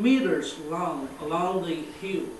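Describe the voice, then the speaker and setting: Amid audible room echo and light background noise, a man talks at a very slow pace in a high pitch. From China. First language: Chinese. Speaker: visiting ceramic artist. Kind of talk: lecture. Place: hall. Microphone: camera far.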